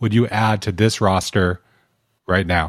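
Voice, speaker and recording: In an ordinary speaking voice, a man talks at a fairly slow pace with fairly low pitch and fairly even intonation, recorded very cleanly against a silent background with a dry, close sound and no echo. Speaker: podcast producer. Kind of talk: reading quiz questions.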